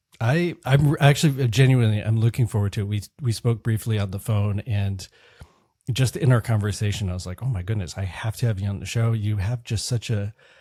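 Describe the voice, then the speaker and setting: A man speaks at a fairly quick pace with a fairly low pitch, a dark, mellow tone, slight breathiness and ordinary pitch variation. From San Francisco. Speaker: podcast host. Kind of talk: interview.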